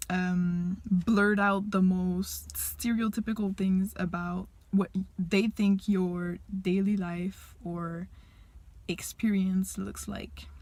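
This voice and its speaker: A woman speaks very slowly in a Quebec accent. Her voice is somewhat breathy and her intonation monotone and flat. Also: medium pitch for a woman. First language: French. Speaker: language teacher. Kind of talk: personal monologue to camera.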